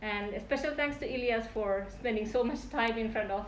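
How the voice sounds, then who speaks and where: With audible room echo around her, a woman speaks at a moderate pace. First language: non-English native language. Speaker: PhD candidate. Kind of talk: thesis defense acknowledgements speech. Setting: defense room, live-streamed. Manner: halting.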